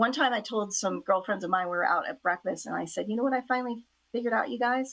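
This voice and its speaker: A woman with a bright, sharp tone, vocal fry and ordinary pitch variation. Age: 60s. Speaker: author. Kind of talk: interview. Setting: talk show. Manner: casual, hesitant with fillers.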